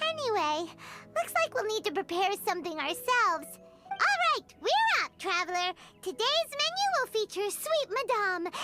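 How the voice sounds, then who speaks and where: A put-on character voice, extremely high-pitched and squeaky, over faint background music. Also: moderate pace. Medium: game stream. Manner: chatty, expressive.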